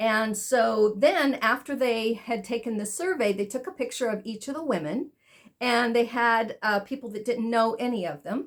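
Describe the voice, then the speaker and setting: Speaking at a moderate pace, a woman uses an unremarkable speaking voice with fairly high pitch and lively intonation. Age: 60s. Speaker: spa owner and beauty podcast host. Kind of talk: casual podcast monologue.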